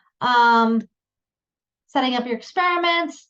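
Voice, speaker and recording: Against a quiet background, a woman with an unremarkable speaking voice talks at a moderate pace, her pitch fairly high and her intonation lively. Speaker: science education program presenter. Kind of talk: workshop presentation. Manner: many filler ums.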